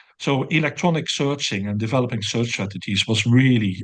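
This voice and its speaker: This man has a Dutch accent and a medium pitch. He speaks at a moderate pace with ordinary pitch variation. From Netherlands, near the German border. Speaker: professor and systematic review researcher. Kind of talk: interview. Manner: hesitant with many fillers.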